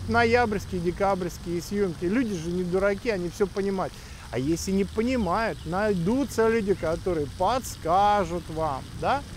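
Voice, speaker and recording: A high-pitched man at a fairly slow pace, dry sound with no echo, light background noise. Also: ordinary pitch variation. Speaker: YouTube vlogger and education agent in Australia. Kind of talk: monologue vlog. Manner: blunt, sharp. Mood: critical, indignant. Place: street. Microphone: phone near.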